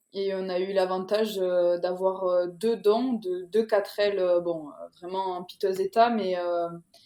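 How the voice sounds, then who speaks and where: Speaking at a very slow pace with hardly any pauses, a woman holds a medium pitch in a flat monotone, her tone dark and mellow. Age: 20s. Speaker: police officer, rally participant. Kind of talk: podcast interview.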